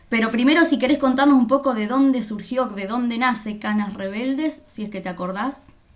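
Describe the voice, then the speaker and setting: Talking at a fairly quick pace with hardly any pauses and ordinary pitch variation, the speaker is heard over noticeable background noise. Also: woman, high pitch for a woman. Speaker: writing workshop moderator. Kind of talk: interview.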